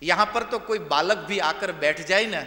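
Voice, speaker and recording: A man talks with ordinary pitch variation. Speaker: religious discourse speaker. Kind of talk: sermon.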